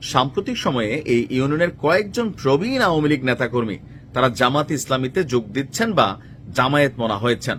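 Somewhat breathy, a man speaks. His intonation is lively. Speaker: political commentary vlogger. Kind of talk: political commentary monologue. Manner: casual conversational.

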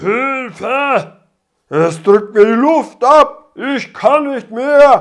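The voice is a put-on character with a high pitch. It moves at a very slow pace. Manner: desperate, pleading.

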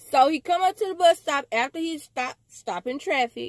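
Animated in tone, a woman speaks with very wide pitch swings in a dry sound with no echo. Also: quiet background. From US. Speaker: vlogger telling a story. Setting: self-recorded video. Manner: excitable, incredulous, emphatic repetition. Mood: amused, incredulous. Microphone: phone near.

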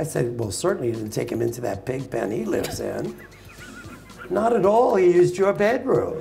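Clear music plays behind a man with a New York accent. He talks at a moderate pace. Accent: New York American. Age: 80s+. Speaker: dog show judge. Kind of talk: interview answer, storytelling to live audience. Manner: humorous, outspoken. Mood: animated, humorous storytelling. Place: hall.

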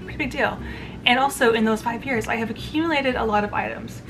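Over background music, a woman talks at a very fast pace. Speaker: lifestyle vlogger. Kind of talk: casual vlog chat. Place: home room. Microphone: phone near.

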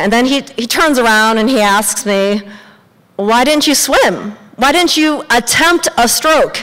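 Speaking with a Western US accent, a woman's pitch swings very widely. She goes at a fairly slow pace over a quiet background. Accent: American, Western US. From Montana. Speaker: storyteller. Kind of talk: live storytelling performance. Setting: live audience on stage. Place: stage. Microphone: handheld.

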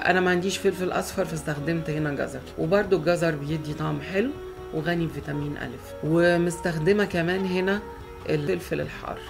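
A woman in an Egyptian accent at a moderate pace, with music in the background. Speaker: home cook, cooking channel host. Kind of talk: cooking tutorial narration.

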